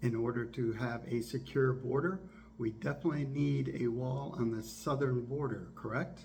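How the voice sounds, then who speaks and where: In a room with audible echo and noticeable background noise, a man with an American accent speaks at a moderate pace, his pitch medium and his intonation lively. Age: 60s. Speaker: biomedical engineer and YouTuber. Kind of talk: political commentary monologue.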